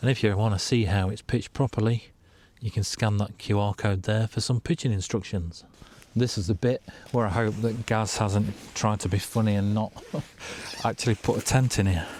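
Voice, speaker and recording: Quiet and at a fairly quick pace, a man with an English accent speaks at a fairly low pitch with fairly even intonation in a very clean recording with a silent background. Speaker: outdoor vlogger. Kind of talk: casual vlog narration. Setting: outdoors.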